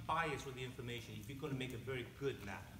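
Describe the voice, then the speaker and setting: In an American accent, a man speaks very fast in a fairly high pitch, with audible room echo around him. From Taiwan, then Maryland from age eight. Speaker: map maker and political candidate. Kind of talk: campaign speech. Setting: candidate forum with audience. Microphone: held too far from mouth.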